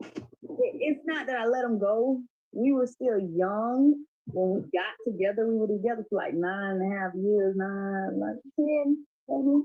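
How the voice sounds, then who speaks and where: This woman's fairly high voice moves at a fairly slow pace, with lively intonation and an animated tone. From Florida. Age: 30s. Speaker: podcast guest. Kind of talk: casual chat.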